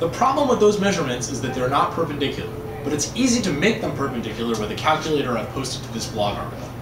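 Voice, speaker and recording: Very fast speech from a man over noticeable background noise. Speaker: bike frame building instructor. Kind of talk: tutorial.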